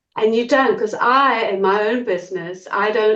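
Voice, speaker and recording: A woman with a slight South African accent speaks at a fairly slow pace. Her voice is fairly high, with ordinary pitch variation. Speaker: small business owner. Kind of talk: group discussion.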